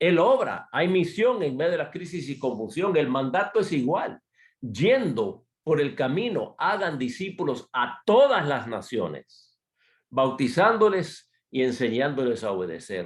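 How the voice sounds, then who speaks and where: This man's fairly high voice carries vocal fry. He talks at a fairly slow pace, and his pitch swings very widely. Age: 60s. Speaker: missionary speaker. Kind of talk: sermon.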